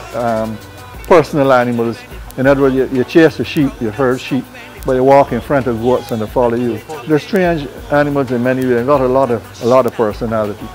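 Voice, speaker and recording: Faint music sits in the background as a man talks at a very fast pace with fairly even intonation. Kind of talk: interview answer. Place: farm machine.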